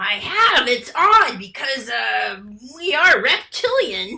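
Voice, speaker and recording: High-pitched, female-sounding put-on character voice, very slow in pace. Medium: stage play. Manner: gossipy, playful.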